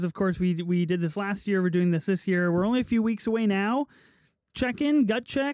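High-pitched male speech on a very clean recording with a silent background. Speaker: film podcast co-host. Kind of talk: casual chat. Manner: casual, laid-back.

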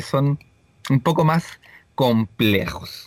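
A man talks with lively intonation. The sound is dry and close, with no echo. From Chile, Viña del Mar. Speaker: podcast co-host. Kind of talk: casual chat.

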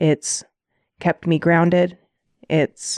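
Calm and fairly low-pitched, a woman speaks with an American accent in a dry, close sound with no echo. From US Midwest, Indiana (South Bend). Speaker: dog trainer, host's wife. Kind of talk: casual chat.

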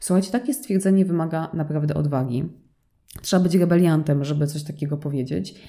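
Very fast in pace, a woman speaks with a very deep, low pitch, a dark, mellow tone and ordinary pitch variation. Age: 30s. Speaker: fashion designer and brand owner. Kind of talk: solo podcast monologue.

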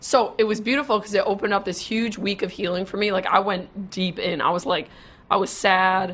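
The recording is very clean, with a silent background. A woman talks in an ordinary speaking voice at a medium pitch and a fairly quick pace. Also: fairly even intonation. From Wisconsin. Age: 20s. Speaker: social media marketer. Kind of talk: casual interview. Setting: live video stream.

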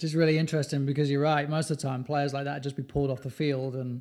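Speaking very fast in a British accent, a man with a fairly high voice keeps a monotone, flat intonation on a very clean recording with a silent background. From UK. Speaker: podcast host and youth soccer coach. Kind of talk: casual interview.

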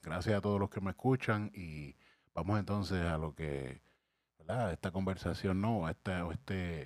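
Very deep and low in pitch, a man speaks with ordinary pitch variation in a Puerto Rican accent. The recording is very clean with a silent background, dry and close with no echo. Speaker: youtuber and podcaster. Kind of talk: casual commentary monologue. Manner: hesitant, many fillers.

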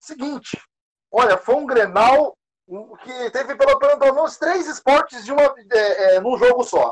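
This man talks in an extremely high pitch at a fairly slow pace. His pitch variation is ordinary. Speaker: football podcast co-host. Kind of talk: casual chat.

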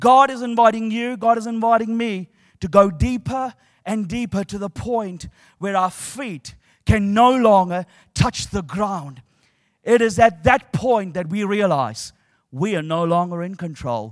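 A man with a high pitch speaks fairly slowly in a warm tone, with ordinary pitch variation. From New Zealand. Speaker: preacher. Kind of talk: sermon. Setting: stage with audience. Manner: animated; warm, humorous and engaging, with a call-and-response style.

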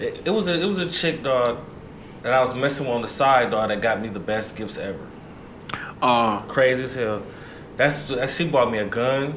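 Amid noticeable background noise, a man at a medium pitch speaks at a moderate pace with lively intonation. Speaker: podcast co-host. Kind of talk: casual storytelling.

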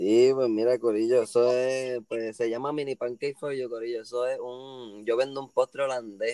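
With hardly any pauses, a man of medium pitch talks at a moderate pace in a monotone, flat intonation, captured with a dry, close sound and no echo. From Puerto Rico, Cayey area. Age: 20s. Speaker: skateboarder and small dessert business owner. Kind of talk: casual chat.

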